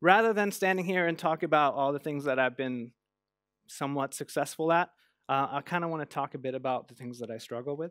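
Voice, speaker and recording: A man talks at a very fast pace with a fairly high pitch, ordinary pitch variation and big swings in loudness. The sound is dry with no echo, and the background is quiet. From Norway. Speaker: motion and UI designer. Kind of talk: conference talk. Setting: stage with audience. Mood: open, personal, hesitant. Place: stage. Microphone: headset.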